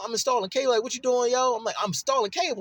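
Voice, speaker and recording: A man's extremely high, animated voice at a very fast pace, dry and close with no echo, amid noticeable background noise. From Baltimore, Maryland (West Baltimore). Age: 40s. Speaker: cable installer and military veteran. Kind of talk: casual monologue.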